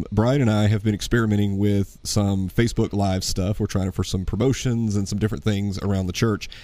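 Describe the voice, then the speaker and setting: With a dark, mellow tone and fairly low pitch, a man talks at a fairly quick pace with fairly even intonation and hardly any pauses. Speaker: podcast host. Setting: church studio.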